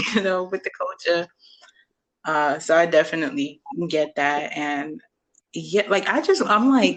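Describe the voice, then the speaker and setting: A woman's fairly slow speech with a New York accent and very wide pitch swings. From Brooklyn, New York. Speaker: podcast host. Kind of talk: casual chat.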